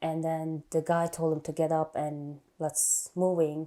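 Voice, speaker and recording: With an Iranian accent, a woman speaks at a very deep, low pitch. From Iran, Afghan family. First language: Farsi. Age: 30s. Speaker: nurse. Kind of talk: life story interview.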